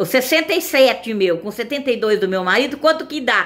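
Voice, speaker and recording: High female speech with very wide pitch swings, delivered at a moderate pace. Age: 60s. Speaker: evangelical video preacher. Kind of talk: informal sermon. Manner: halting.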